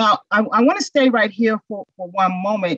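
A woman speaks at a moderate pace with lively intonation, the sound dry with no echo and the background quiet. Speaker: instructor presenting on mental health. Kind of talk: lecture. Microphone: webcam.

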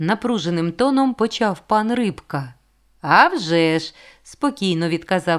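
Plain reading aloud comes with lively intonation throughout.

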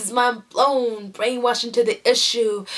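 A woman with a fairly high pitch speaks at a moderate pace. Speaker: spoken word poet. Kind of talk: spoken word poetry performance. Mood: emotional, intense. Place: home room. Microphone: webcam.

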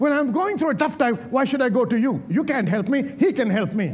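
A man's extremely high-pitched voice with lively intonation at a fairly quick pace. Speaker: pastor, church preacher. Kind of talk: sermon delivered to a congregation. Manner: emphatic, call-and-response preaching. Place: church. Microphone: handheld.

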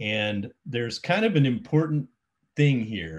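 Lively intonation marks a man talking at a fairly slow pace. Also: quiet background. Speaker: presenter. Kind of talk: lecture. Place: home room. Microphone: webcam.

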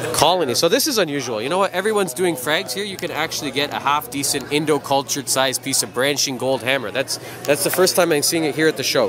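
A man at a very fast pace with hardly any pauses, ordinary pitch variation and a dry sound with no echo, music in the background. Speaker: coral shop owner vlogger. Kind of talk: casual vlog commentary. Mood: enthusiastic, curious. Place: hall. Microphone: phone near.

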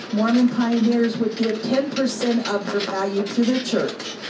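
A woman talks fairly slowly, with noticeable background noise behind her. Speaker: tour guide. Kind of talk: guided tour narration.

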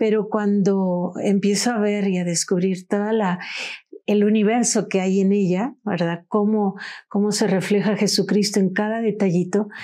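Against a quiet background, a woman speaks at a fairly slow pace in a dark, mellow tone, her loudness very even and her intonation monotone and flat. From Mexico, Orizaba, Veracruz; Veracruz, Mexico. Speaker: podcast guest. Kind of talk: podcast conversation on religious history. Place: studio. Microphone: lapel.

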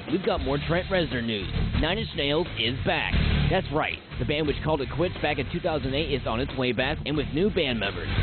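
A man talks at a fairly quick pace. The sound is dry with no echo, with clear music in the background. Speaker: radio DJ; soldier. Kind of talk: music news read. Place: studio.

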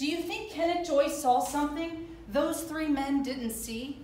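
Room echo is audible and light background noise is present as a woman speaks. Her pitch is high, her pitch variation ordinary and her pace fairly slow. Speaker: actor playing a prosecutor. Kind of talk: staged courtroom closing argument. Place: stage. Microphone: camera far.

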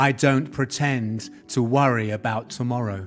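Music in the background behind a man's medium-pitched voice at a very slow pace, with fairly even intonation. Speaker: spoken word poet. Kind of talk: spoken word poetry performance.

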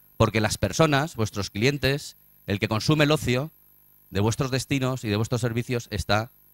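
Long, frequent pauses break up a man's speech, which has ordinary pitch variation. The background is quiet, and the sound is dry with no echo. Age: 40s. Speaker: tourism marketing strategist; conference speaker. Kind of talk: conference talk. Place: hall.

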